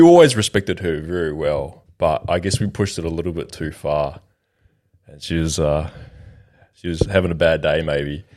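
Speaking with an Australian accent, a man with a very deep, low pitch takes long, frequent pauses as his loudness swings widely. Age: 20s. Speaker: podcast host. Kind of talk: casual chat.

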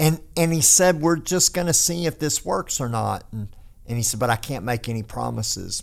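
A man with a Texan accent talks at a moderate pace and a medium pitch, his intonation lively. The recording is very clean, with a silent background. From North Texas. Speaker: pastor. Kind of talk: casual chat.

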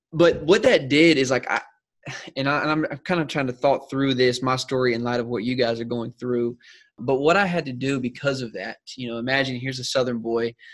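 Talking at a fairly quick pace, a man with an American accent has a medium pitch and ordinary pitch variation. It is a plain, everyday voice. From South Carolina. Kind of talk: mentoring Q&A chat.

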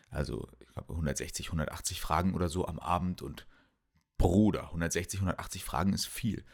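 Vocal fry runs through this very slow speech. Pitch varies by an ordinary amount. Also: man, very deep, low pitch for a man. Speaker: medical student podcaster. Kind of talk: casual solo monologue. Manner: halting, many fillers and repetitions.

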